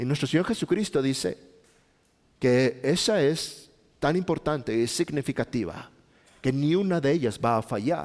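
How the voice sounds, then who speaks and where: With long, frequent pauses, a man speaks at a moderate pace and fairly high pitch on a very clean recording with a silent background. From Mexico, Chihuahua. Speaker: pastor. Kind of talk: sermon. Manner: halting.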